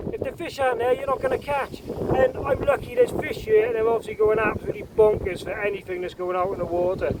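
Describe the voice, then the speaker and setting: Background noise is noticeable while the words come out at a very fast pace. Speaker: angler vlogger. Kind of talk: fishing vlog commentary. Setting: outdoors on the shore. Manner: loud, shouting over wind; animated.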